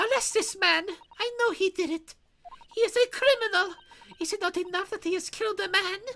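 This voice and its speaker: A woman uses a put-on character voice at an extremely high pitch with a dramatic tone. She talks at a fairly quick pace with long, frequent pauses. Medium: game stream. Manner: shrill, dramatic.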